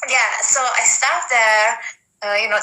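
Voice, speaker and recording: A woman's fairly slow speech in an Italian accent, with a fairly high pitch and fairly even intonation. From Italy, Abruzzo. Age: 20s. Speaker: professional wrestler. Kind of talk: interview. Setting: video call.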